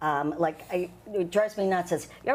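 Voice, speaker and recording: On a very clean recording with a silent background, a woman speaks with fairly even intonation. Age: 50s. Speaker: dating app user. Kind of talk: casual chat. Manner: fast.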